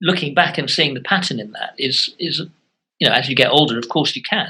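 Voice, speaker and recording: A man's bright, sharp voice at a fairly quick pace, with ordinary pitch variation. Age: 60s. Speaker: author and former teacher. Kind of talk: interview conversation. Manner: halting, many fillers and restarts.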